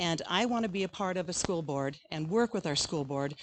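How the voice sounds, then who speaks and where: A woman with a fairly low pitch talks at a fairly quick pace with ordinary pitch variation. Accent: Inland Northwest US. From Idaho (Grangeville). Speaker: school board candidate, retired teacher. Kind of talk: candidate forum speech.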